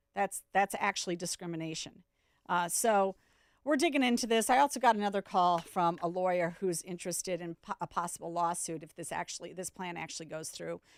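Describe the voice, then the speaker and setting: At a fairly quick pace, a woman with a plain, everyday voice speaks at a fairly low pitch with ordinary pitch variation and big swings in loudness, in a very clean recording with a silent background and a dry, close sound with no echo. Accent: American. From US Midwest, South Dakota. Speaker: radio talk show host. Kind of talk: radio talk show monologue. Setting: radio studio.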